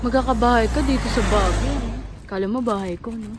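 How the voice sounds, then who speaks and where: A woman at a moderate pace, with a dry sound with no echo and noticeable background noise. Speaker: travel vlogger. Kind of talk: casual vlog narration. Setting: outdoors walking at night. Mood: relaxed, cheerful. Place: street. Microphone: phone near.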